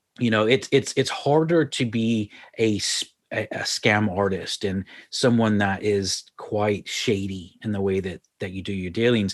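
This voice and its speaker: A man's fairly low voice with ordinary pitch variation, an unremarkable speaking voice, in an American accent at a fairly slow pace over a quiet background. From Texas, Houston. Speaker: marketing consultant. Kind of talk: radio interview.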